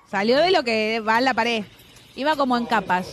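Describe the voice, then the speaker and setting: A woman's fairly high voice is heard with noticeable background noise in the recording. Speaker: radio host. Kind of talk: casual chat. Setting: studio.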